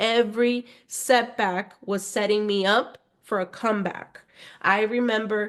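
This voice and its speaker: Against a quiet background, a woman with a Spanish accent talks at a fairly high pitch with fairly even intonation. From Spanish-speaking family, schooled in the US. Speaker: podcast host, empowerment coach. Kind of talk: motivational podcast monologue. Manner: conversational, frequent 'right?' tags.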